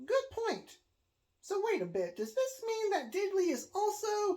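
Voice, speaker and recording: A put-on character voice, squeaky and at an extremely high pitch, bounces along with lively intonation. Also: fairly slow pace. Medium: read story. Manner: dry, polite.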